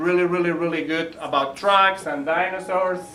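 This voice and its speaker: A high-pitched man with a Spanish accent at a moderate pace, noticeable background noise and audible room echo. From Spain. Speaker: library early learning educator. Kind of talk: presentation to parents. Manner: casual, conversational.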